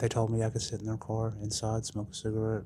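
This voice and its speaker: Somewhat breathy, a man speaks with a fairly low pitch. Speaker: recovery storyteller. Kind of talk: personal testimony. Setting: dentist waiting room. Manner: casual, conversational with fillers.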